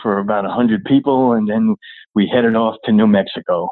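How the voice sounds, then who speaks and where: Here a man with a normal speaking voice talks fairly quickly at a medium pitch, his intonation fairly even. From New York (Long Island). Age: 60s. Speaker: army veteran. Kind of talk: interview. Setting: phone call.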